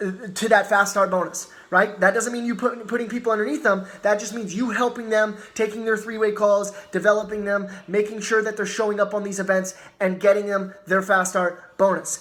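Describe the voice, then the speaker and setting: A man speaks in a high pitch with an animated tone at a fairly quick pace. Noticeable background noise sits behind him. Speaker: network marketing team leader. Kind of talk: motivational training talk. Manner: fast.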